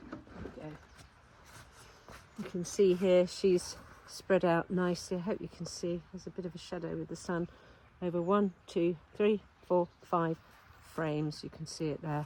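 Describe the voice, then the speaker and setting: A woman with an English accent speaks at a moderate pace in a fairly low voice with fairly even intonation. Her loudness swings widely, and she leaves long, frequent pauses. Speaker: beekeeper. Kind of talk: casual vlog narration. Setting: outdoors.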